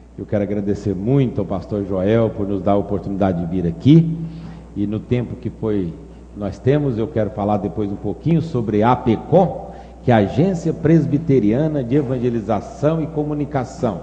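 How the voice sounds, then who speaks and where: A man with a Minas Gerais accent speaks at a moderate pace with lively intonation and a fairly low pitch, over noticeable background noise and audible room echo. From Brazil, Minas Gerais. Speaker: pastor. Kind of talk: sermon.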